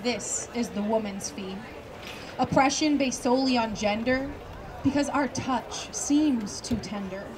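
A woman with a high-pitched voice speaks at a fairly slow pace with ordinary pitch variation over noticeable background noise. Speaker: college student. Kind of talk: slam poetry performance. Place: open country.

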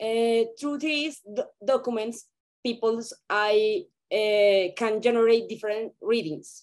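In a Spanish accent, a woman speaks at a very slow pace with a fairly high pitch. Her pitch variation is ordinary, and the background is quiet. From Colombia. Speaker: photographer. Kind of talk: reading a prepared presentation. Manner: halting, hesitant. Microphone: video call.

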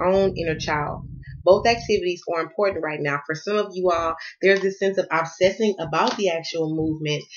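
With an American accent, a woman speaks at a fairly quick pace with ordinary pitch variation. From US South. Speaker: tarot card reader. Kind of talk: tarot reading. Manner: fast. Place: home room. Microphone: phone near.

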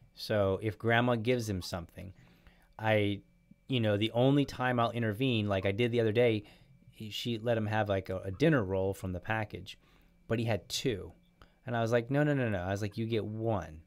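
Against a quiet background, a man talks in an ordinary speaking voice at fairly low pitch and a fairly quick pace, with fairly even intonation. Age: 40s. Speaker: podcast host. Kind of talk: casual chat. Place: home room. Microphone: studio mic.

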